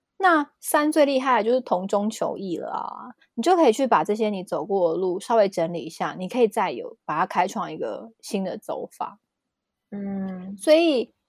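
A woman with a fairly high pitch, very wide pitch swings and big swings in loudness, at a moderate pace, with a dry, close sound with no echo on a very clean recording against a silent background. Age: 30s. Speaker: numerology teacher. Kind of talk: casual explanatory chat.

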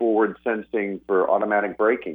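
This man talks fairly quickly with a fairly low voice. It is a plain, everyday voice. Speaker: company archivist, phone guest. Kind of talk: interview. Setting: phone call.

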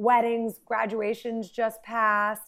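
The recording is very clean with nothing audible behind it, and the tone is animated. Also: woman. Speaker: event planner. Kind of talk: casual chat.

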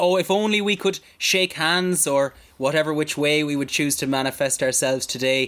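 In a western Irish accent, a man speaks at a fairly high pitch with an animated tone, ordinary pitch variation and very even loudness. The recording is very clean and the background silent. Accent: Irish, western (Mayo). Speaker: podcast host. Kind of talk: radio DJ patter, bantering podcast intro. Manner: animated, cheeky, fast-paced showman; crude, mock-formal banter.

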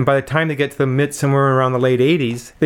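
Here a man talks at a very fast pace, his medium pitch held in fairly even intonation. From north coast of British Columbia, Canada. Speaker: professor. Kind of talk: interview.

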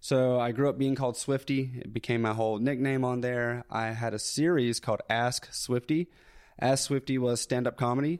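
A man at medium pitch, fairly even intonation and moderate pace, on a very clean recording with a silent background. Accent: Southern US. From US South, North Alabama. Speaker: YouTuber. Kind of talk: casual chat.

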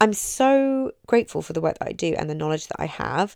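A woman speaks at a fairly quick pace with an English accent and ordinary pitch variation. The sound is dry and close, with no echo. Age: 30s. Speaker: mindset coach and podcast host. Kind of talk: motivational talk. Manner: warm, chatty.

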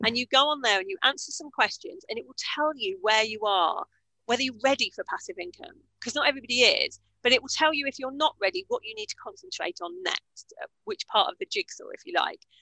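With a British accent, a woman speaks very fast in a raised, projected voice, her high pitch swinging very widely, her loudness shifting a lot and her tone bright and sharp. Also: dry, close sound with no echo. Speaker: business coach. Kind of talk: interview.

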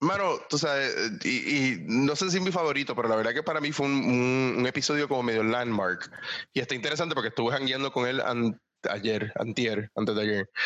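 A man talks at a fairly quick pace in a normal speaking voice, medium in pitch with ordinary pitch variation and very even loudness. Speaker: entrepreneur. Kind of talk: interview.

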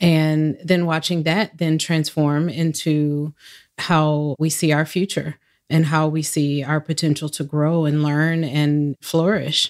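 Very slow and monotone, a woman with an American accent speaks at a very deep, low pitch with very even loudness in a very clean recording with a silent background. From US Southwest, Phoenix. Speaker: education administrator at a telecom company. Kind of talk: interview.

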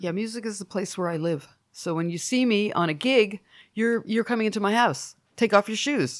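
On a very clean recording with a silent background, a woman with a plain, everyday voice speaks at a medium pitch and a moderate pace with lively intonation. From Canada. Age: 50s. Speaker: musician. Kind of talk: casual chat.

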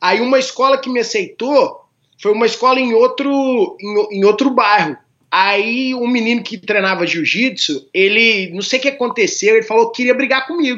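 A man speaks at a moderate pace with ordinary pitch variation and an extremely high pitch. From Minas Gerais, Brazil (Formiga, interior). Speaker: jiu-jitsu champion. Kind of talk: casual interview chat.

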